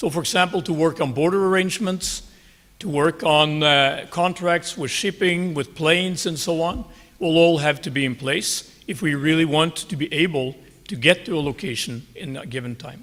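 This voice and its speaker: A man with a Norwegian accent speaks at a moderate pace in a fairly high voice with ordinary pitch variation. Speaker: army general. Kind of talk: conference talk. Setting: conference stage. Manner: formal.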